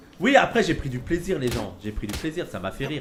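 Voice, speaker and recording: Very wide pitch swings at a moderate pace, with music in the background and audible room echo. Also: man. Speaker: streamer. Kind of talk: casual chat.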